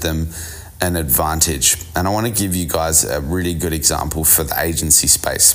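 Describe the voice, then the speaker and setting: A man's very deep, low voice at a moderate pace with fairly even intonation, plus audible room echo and music in the background. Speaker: business coach podcast host. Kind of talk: solo business podcast monologue.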